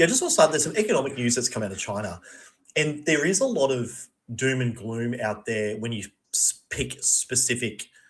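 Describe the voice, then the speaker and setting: A man with an Australian accent talks at a fairly quick pace and medium pitch, somewhat breathy, with lively intonation. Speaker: podcast co-host. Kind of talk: casual chat.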